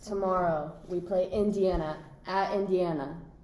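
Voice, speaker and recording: In an American accent, a woman speaks at medium pitch with a dark, mellow tone and flat, monotone intonation. Room echo is audible. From Scottsdale, Arizona. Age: young. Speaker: college soccer player. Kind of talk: casual chat. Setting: hotel room.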